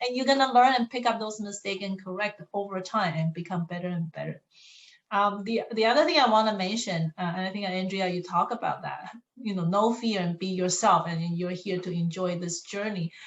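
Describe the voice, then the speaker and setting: A woman talks at a fairly quick pace in a non-native accent, her voice somewhat breathy. Her pitch is medium, with ordinary variation. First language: not English. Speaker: college staff member. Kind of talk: panel discussion.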